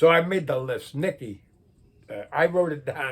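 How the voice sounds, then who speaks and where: A man's voice is somewhat breathy. He talks at a moderate pace. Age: 80s+. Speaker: retired car enthusiast video blogger. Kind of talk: casual monologue vlog. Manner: rambling conversational.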